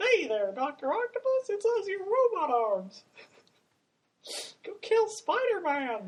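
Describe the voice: In a put-on character voice, the speaker squeaks at an extremely high pitch, moving at a fairly slow pace with long, frequent pauses.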